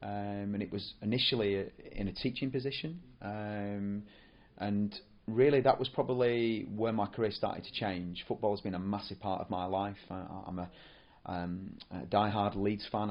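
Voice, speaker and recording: With a northern English accent, a man speaks at a fairly low pitch and a moderate pace, keeping his intonation fairly even. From northern England, near Rochdale. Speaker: football coach developer. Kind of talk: podcast monologue. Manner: hesitant, many fillers and repetitions.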